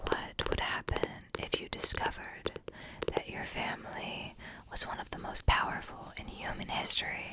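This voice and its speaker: A woman whispers at a moderate pace, her loudness swinging widely. Background noise is noticeable. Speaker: ASMR creator. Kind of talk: reading a book's back-cover blurb aloud. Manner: whispered, soft-spoken.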